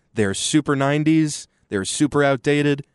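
In a dry, close sound with no echo, a man with an American accent speaks at a medium pitch and a moderate pace. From Texas, Austin. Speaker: sports radio guest. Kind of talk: casual sports talk.

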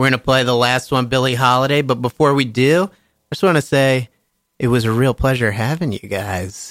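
With a dry, close sound and no echo, a man with a normal speaking voice talks at a fairly quick pace, medium pitch and ordinary pitch variation. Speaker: radio host. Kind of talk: casual radio interview. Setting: studio.

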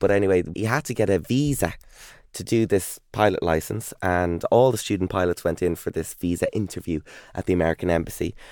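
On a very clean recording with a silent background, a man speaks at a fairly low pitch and a fairly quick pace in an animated tone, with ordinary pitch variation. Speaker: TV presenter and author. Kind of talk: casual interview chat. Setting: studio. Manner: animated, jokey.

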